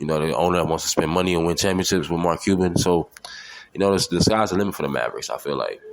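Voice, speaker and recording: A man with a very deep, low pitch and an animated tone, talking at a very fast pace over noticeable background noise. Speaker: podcast host. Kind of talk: solo sports talk podcast. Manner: animated, repetitive stammering.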